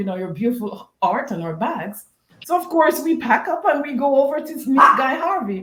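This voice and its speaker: A woman speaks with a Jamaican accent at a moderate pace. Her pitch swings very widely. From Jamaica, Westmoreland. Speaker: golf bag company co-founder. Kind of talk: interview storytelling.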